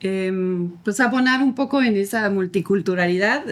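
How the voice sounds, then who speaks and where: With ordinary pitch variation, a woman's voice stays at a medium pitch. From France, French-English family. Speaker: adoptive mother, podcast guest. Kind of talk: interview.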